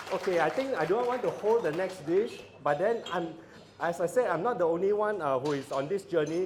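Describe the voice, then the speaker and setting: A man speaks at a fairly quick pace, his pitch high and his pitch variation ordinary. The room echo is audible. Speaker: father of the bride. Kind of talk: wedding speech. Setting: banquet hall with audience, PA system. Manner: loud.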